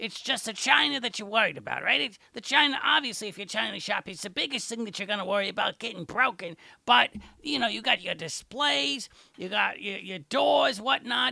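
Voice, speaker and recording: A man in a put-on character voice. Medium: audio drama. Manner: rambling, digressive.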